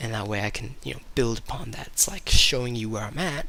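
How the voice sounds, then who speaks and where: With an ordinary speaking voice, the man keeps to a moderate pace. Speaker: entertainer and poet. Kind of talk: casual talk to camera.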